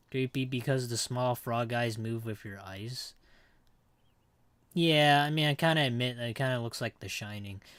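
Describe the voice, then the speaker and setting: On a very clean recording with a silent background, a man talks at a moderate pace in a medium pitch with ordinary pitch variation. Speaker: vtuber streamer. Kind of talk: live gaming stream. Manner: loud; animated.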